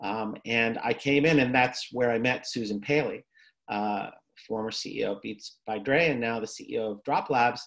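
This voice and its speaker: With a New York accent, a man talks at a fairly slow pace and fairly even intonation against a quiet background. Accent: New York American. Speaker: therapist and tech entrepreneur; presenter. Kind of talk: lecture. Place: home room. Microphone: webcam.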